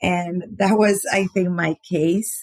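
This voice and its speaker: A woman speaks very slowly in a Panamanian accent, her pitch fairly low with ordinary variation. The sound is dry and close, with no echo. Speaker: podcast guest sharing faith and generosity story. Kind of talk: interview testimony.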